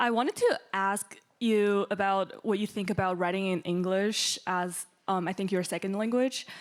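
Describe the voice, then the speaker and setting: A woman's medium-pitched voice with a Chinese accent, at a moderate pace and with fairly even intonation. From China. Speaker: audience member. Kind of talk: audience question.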